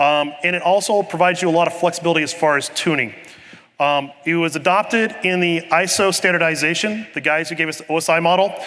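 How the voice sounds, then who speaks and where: Against noticeable background noise, a man with a high pitch talks at a very fast pace with fairly even intonation. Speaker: conference presenter, network engineer. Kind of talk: technical lecture. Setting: conference session room with live audience.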